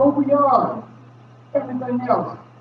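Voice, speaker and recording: With noticeable background noise behind him, a man speaks at a fairly slow pace with an American accent. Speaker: motivational speaker. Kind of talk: seminar talk. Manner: animated.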